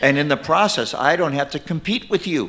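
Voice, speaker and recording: There is vocal fry in this man's fairly high voice as he speaks at a moderate pace with lively intonation. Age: 60s. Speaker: minister and ministry leader. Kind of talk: sermon. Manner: conversational, with fillers.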